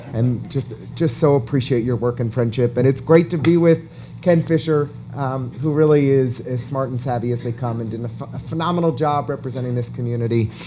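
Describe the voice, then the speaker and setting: A man with an American accent, an ordinary speaking voice, medium pitch, ordinary pitch variation and a fairly quick pace. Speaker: event interviewer. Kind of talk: on-stage interview at an awards event.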